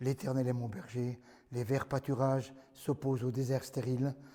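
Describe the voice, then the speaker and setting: A man's fairly high, dark, mellow voice in a very clean recording with a silent background. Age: 70s. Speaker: pastor. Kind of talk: sermon. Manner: animated.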